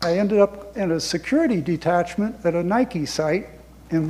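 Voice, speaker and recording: Amid noticeable background noise, a man with a high pitch speaks with ordinary pitch variation. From US South, rural north Florida. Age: 80s+. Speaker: war veteran. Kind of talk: talk to an audience. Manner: conversational, with self-corrections.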